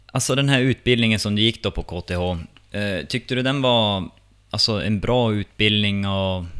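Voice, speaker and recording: An unremarkable speaking voice talks at a moderate pace with ordinary pitch variation. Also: man, fairly low pitch for a man. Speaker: podcast host. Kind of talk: interview, casual.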